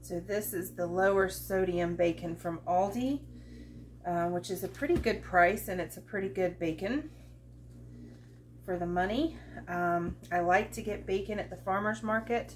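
Over light background noise, a woman speaks at a moderate pace with long, frequent pauses. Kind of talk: cooking tutorial chat. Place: kitchen. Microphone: camera far.

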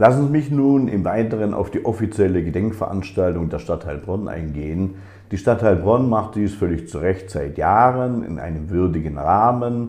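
A man with a fairly low pitch speaks at a moderate pace, his intonation lively. His voice is somewhat breathy against a quiet background. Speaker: speaker. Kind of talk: formal political speech. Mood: solemn, critical. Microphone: webcam.

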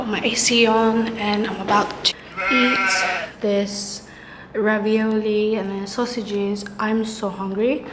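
A woman with an American accent speaks at a very slow pace in a relaxed tone, her intonation flat and monotone, over noticeable background noise. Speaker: university student studying abroad. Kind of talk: casual vlog talk to camera. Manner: relaxed, chatty. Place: home room. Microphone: phone near.

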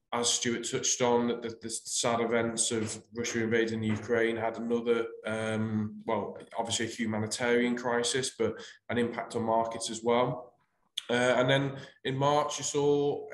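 Audible room echo surrounds a man speaking at a moderate pace. His intonation is monotone and flat. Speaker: presenter. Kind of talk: webinar presentation. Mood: calm, professional. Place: home room. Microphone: webcam.

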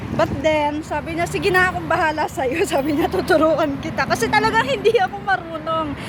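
Amid crowd noise in the background, a woman with a high pitch talks at a fairly quick pace in an animated tone. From Philippines. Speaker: vlogger, overseas Filipino worker. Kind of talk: travel vlog. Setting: on a bus. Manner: animated, laughing.

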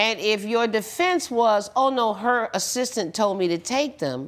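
Her intonation is lively. The woman moves at a fairly slow pace. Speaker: TV judge. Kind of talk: courtroom ruling to litigant. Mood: stern, lecturing. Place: studio. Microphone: lapel.

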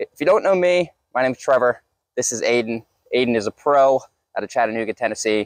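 The speech moves at a fairly quick pace in a dry sound with no echo and a quiet background. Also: man. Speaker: channel host. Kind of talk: casual vlog chat. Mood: upbeat and joking. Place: forest. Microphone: lapel.

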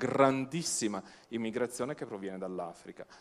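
A man speaks with ordinary pitch variation. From Italy. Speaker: museum director, egyptologist; panelist. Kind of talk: panel debate. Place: stage. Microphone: handheld.

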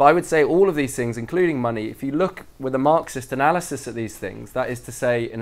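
A man talks at a fairly quick pace, his pitch shifting in an ordinary way. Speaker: speaker. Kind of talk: lecture. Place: hall.

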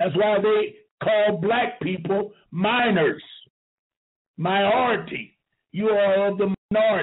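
A man speaks very slowly in a high-pitched voice, keeping his loudness very even. He leaves long, frequent pauses. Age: 70s. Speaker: talk show host. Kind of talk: call-in talk show. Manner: animated.

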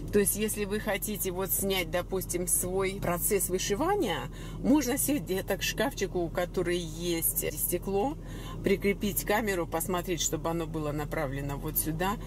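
A woman talks at a moderate pace with a medium pitch.

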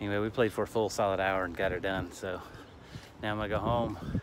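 Over noticeable background noise in a dry sound with no echo, a man speaks at a fairly quick pace and fairly low pitch with monotone, flat intonation. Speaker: vlogger. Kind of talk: casual vlog chat. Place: street. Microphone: phone near.

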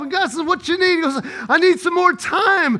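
In an American accent, a man talks fairly quickly in a raised, projected voice with a bright, sharp yet warm and animated tone, ordinary pitch variation, and a quiet background. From US South. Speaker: pastor. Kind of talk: sermon. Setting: church with live congregation. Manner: animated, call-and-response preaching that urges the congregation to echo him; warm and conversational, with jokes and pauses for audience replies. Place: church.

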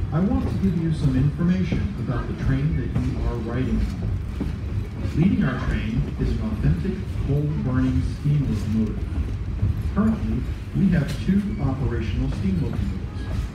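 A man talks at a moderate tempo while audible room echo and noticeable background noise surround him. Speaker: train announcer. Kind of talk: scripted passenger announcement. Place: train. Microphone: pa.

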